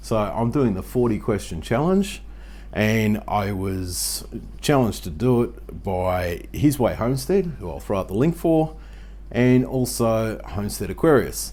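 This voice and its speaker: The voice has an Australian accent. Delivery is at a fairly slow pace. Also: man. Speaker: YouTube homesteading vlogger. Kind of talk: casual Q&A vlog. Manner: conversational, frequent fillers.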